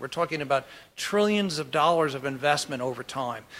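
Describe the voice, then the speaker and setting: The man's fairly high voice has a bright, sharp tone and lively intonation. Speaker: oil company executive, keynote speaker. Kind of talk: keynote presentation. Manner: fast.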